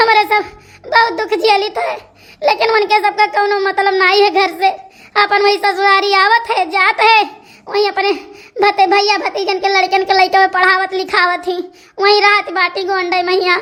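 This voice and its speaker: A cartoonish character voice at a moderate pace with fairly even intonation. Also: woman, extremely high pitch for a woman. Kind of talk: comic cartoon dialogue. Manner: repetitive, rambling.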